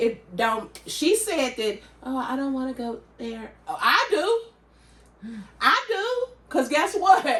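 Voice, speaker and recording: Loud and at a fairly slow pace, a woman speaks with lively intonation. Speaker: podcast co-host. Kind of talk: casual chat.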